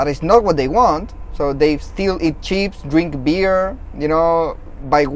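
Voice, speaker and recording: A man with a Chilean accent speaks in a fairly high pitch. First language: Spanish. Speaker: podcast host. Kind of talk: casual interview. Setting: outdoors.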